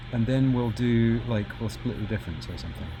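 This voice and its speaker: The speaker talks with an American accent. Noticeable background noise runs underneath. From UK. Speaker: retrocomputing hobbyist streamer. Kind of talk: casual live stream chat. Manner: casual, thinking aloud with fillers.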